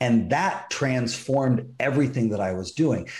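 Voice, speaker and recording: A man with an American accent sounds somewhat breathy, with audible room echo. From US West Coast. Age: 40s. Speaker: computer consultant and life coach. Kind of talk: interview. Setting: video call.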